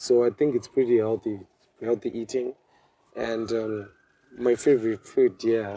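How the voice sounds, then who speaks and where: Speaking fairly slowly with a Zimbabwean accent, a man of medium pitch uses monotone, flat intonation and long, frequent pauses, recorded in a dry, close sound with no echo. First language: Shona. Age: 20s. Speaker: medical student. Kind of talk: interview. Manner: halting.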